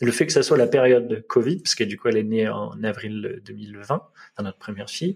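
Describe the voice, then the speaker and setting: A man at a moderate pace with lively intonation. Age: 30s. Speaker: web designer and father. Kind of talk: podcast interview. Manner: halting.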